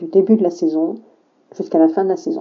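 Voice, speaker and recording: Her pitch sits in the medium range for a woman. She makes very wide pitch swings. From southern France, rural. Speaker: teacher. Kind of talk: testimony.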